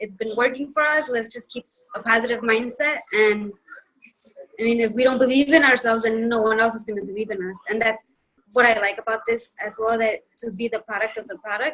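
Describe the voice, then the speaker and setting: A woman with a fairly high pitch talks at a fairly quick pace, with fairly even intonation and big swings in loudness. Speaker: team member in a health and wellness group. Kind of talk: casual group video meeting share. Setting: video call. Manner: fast; mumbling.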